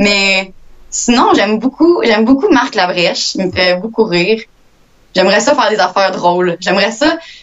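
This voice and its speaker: This woman speaks at a medium pitch and moderate pace with lively intonation. Her loudness stays very even, and there is noticeable background noise. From Quebec, Victoriaville area. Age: young. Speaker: actress and student. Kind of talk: interview.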